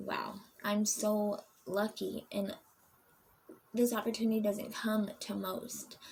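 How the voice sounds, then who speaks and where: A woman at medium pitch speaks in a monotone, flat way, her voice somewhat breathy. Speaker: vlogger sharing recovery program experience. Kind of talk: casual vlog talk to camera. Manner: halting, many fillers.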